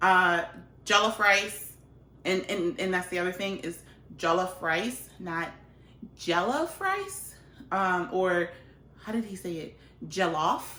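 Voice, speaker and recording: A woman at medium pitch with ordinary pitch variation, a very slow pace and long, frequent pauses, amid noticeable background noise. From Liberia. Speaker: cooking vlogger. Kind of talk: cooking tutorial. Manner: casual, chatty.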